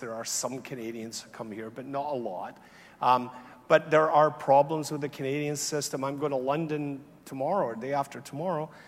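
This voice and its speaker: Speaking with a slight Scottish accent, a man uses fairly even intonation at a fairly high pitch and a moderate pace. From Scotland. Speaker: health economist, awards ceremony host. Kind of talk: conference closing remarks. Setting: conference hall with audience. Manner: conversational, many fillers.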